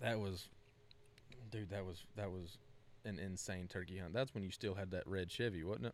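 A man with a Southern US accent speaks in a very deep, low voice at a moderate pace. His intonation is fairly even, and he pauses long and often. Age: 20s. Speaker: podcast host. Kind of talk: casual chat.

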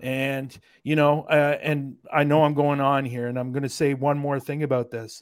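With an American accent, the words come at a moderate pace. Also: man. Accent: Canadian, heard as American. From Canada. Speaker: paranormal investigator. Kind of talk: casual chat. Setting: video call.

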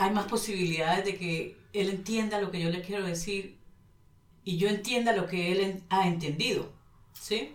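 At a moderate pace, the voice keeps fairly even intonation, with audible room echo around it. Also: woman. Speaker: economist and Spanish teacher. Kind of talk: casual interview.

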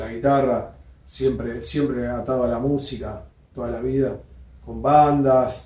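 In a Rioplatense accent, a man talks at a very slow pace and medium pitch, with fairly even intonation and audible room echo. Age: 40s. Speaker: guitar maker. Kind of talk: interview. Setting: workshop.

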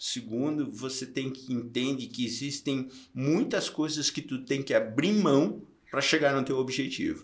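This man's voice is fairly high-pitched, with ordinary pitch variation and a fairly slow pace. It is an unremarkable speaking voice. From interior of Santa Catarina, Brazil (Curitibanos). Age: 60s. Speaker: triathlon event organizer and entrepreneur. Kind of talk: casual interview.

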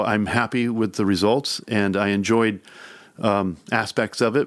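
With a fairly low pitch and ordinary pitch variation, a man talks at a fairly slow pace on a very clean recording with a silent background. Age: 50s. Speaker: record producer. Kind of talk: interview. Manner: halting.

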